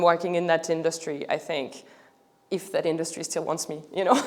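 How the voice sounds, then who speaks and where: A woman talks with a strong French accent. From France. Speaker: art startup founder. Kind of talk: public talk. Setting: museum stage with audience. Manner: halting, with many fillers.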